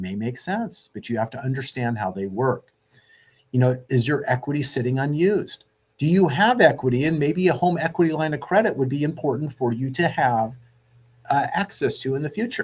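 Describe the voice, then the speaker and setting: Fairly high in pitch, a man's voice sounds somewhat breathy. He talks at a fairly quick pace with lively intonation. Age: 60s. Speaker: radio host and mortgage lender. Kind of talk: radio show monologue.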